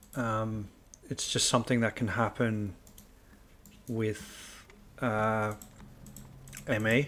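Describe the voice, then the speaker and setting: A soft-spoken man talks at a very slow pace in a medium pitch. His intonation stays fairly even. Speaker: video game streamer. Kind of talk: gameplay commentary.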